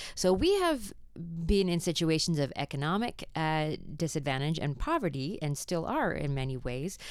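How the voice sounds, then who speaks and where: A woman speaks in an ordinary speaking voice at a fairly low pitch, with ordinary pitch variation and a moderate pace. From Canada. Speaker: theologian and professor, practical theology researcher. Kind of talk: interview discussion, explanatory.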